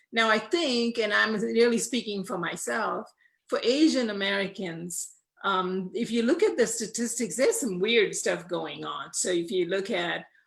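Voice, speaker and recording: A woman's fairly high voice with vocal fry, lively intonation, and a moderate pace. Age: 60s. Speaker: panelist. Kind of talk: panel discussion.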